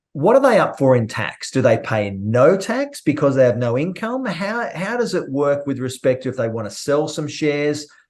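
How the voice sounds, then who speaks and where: A man with an Australian accent speaks at a moderate pace in a fairly high pitch. His voice makes very wide pitch swings against a quiet background. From Australia, Melbourne. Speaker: trading educator and podcast host. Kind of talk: casual podcast interview.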